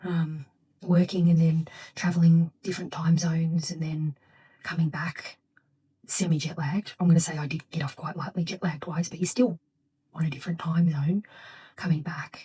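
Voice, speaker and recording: A soft-spoken woman with a fairly low pitch, flat monotone intonation, and long, frequent pauses. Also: moderate pace. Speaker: vlogger and mother. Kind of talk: casual vlog talk to camera. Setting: at home, getting ready for bed. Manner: quiet, soft-spoken.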